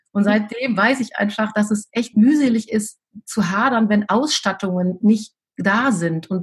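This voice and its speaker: This woman's voice is somewhat breathy. She talks fairly slowly with ordinary pitch variation. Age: 50s. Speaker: teacher and deputy school head. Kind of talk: interview.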